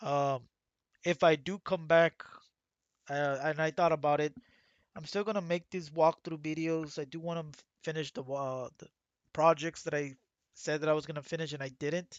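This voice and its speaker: Using long, frequent pauses, a man with a fairly high pitch speaks at a moderate pace with fairly even intonation. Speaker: gaming youtuber. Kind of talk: casual monologue. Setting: livestream. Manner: rambling, halting with fillers.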